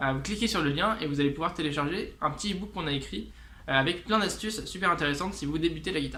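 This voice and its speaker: A man talks very fast in a fairly high voice with ordinary pitch variation, while room echo and noticeable background noise can be heard. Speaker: guitar teacher and musician. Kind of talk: tutorial. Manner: casual, many hesitations.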